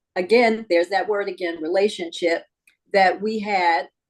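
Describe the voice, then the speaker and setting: A woman speaks in an ordinary speaking voice, medium in pitch with ordinary pitch variation. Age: 60s. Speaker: sports league executive. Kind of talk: interview.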